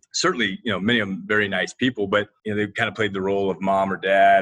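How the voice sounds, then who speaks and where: Speaking very fast, a man with a Midwestern American accent uses a fairly low pitch. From Ohio, Toledo. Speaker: HR executive. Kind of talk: casual interview.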